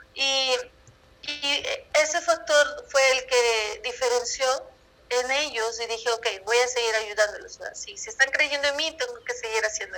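Speaking fairly slowly, a woman uses a high pitch and a raised, projected voice. Her tone is bright and sharp, and her intonation is lively. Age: 20s. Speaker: numerologist and holistic coach. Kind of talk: interview.

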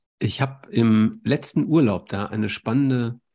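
Here a man talks at a medium pitch in a dark, mellow tone. His intonation is lively and his pace fairly slow. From Germany. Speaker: podcast host, doctor. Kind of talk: interview.

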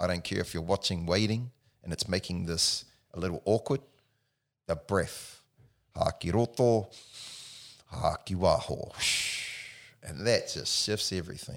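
A man in a New Zealand accent, fairly low in pitch with ordinary variation, at a fairly slow pace with long, frequent pauses. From New Zealand, Palmerston North. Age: 40s. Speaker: personal trainer. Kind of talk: casual chat.

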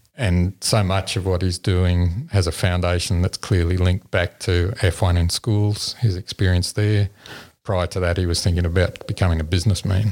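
In an Australian accent, a man speaks with a very deep, low pitch, monotone, flat intonation and very even loudness, recorded with a dry, close sound with no echo. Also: moderate pace. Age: 60s. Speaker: engineering professor and competition judge. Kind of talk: interview. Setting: at a school competition event.

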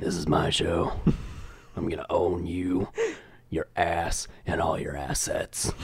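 A man speaks at a fairly slow pace in a put-on character voice with a very deep, low pitch, taking long, frequent pauses over light background noise. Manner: dark, menacing, smooth.

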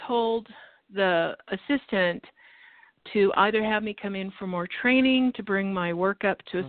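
A woman's ordinary speaking voice with an American accent, medium pitch and a fairly slow pace. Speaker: caller. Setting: phone call.

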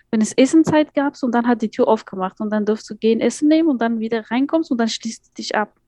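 This woman speaks very fast with an Afghan accent, her fairly high pitch carried in a dark, mellow tone over a dry, close sound with no echo. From Afghanistan, Kabul. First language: Dari (speaking German). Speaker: migrant advocate and educator. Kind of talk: interview.

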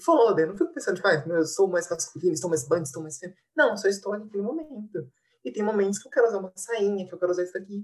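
Lively intonation from a woman with a somewhat breathy voice. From interior of São Paulo state, Brazil. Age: 20s. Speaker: literature student and researcher. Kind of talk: casual discussion.

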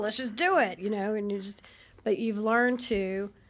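A woman speaks in a normal speaking voice at a medium pitch, with ordinary pitch variation. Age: 50s. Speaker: podcast co-host. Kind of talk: casual chat. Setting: studio.

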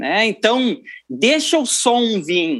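A man speaks at a high pitch with a southern Brazilian accent. His pitch swings very widely. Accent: southern Brazilian (gaúcho) Portuguese. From Rio Grande do Sul, Brazil (Cruz Alta). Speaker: keyboardist and music producer. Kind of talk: interview.

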